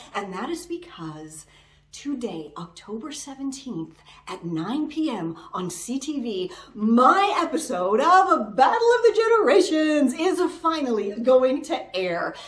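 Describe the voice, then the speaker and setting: A woman's high-pitched voice at a fairly slow pace, with very wide pitch swings, big swings in loudness, and noticeable background noise. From Canada, Toronto. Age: 40s. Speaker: YouTuber, game show contestant. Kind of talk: casual vlog talk. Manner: animated.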